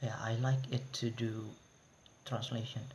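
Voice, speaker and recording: A man talks at a medium pitch with an Indonesian accent. His intonation is monotone and flat. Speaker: university student. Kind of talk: class presentation. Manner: halting.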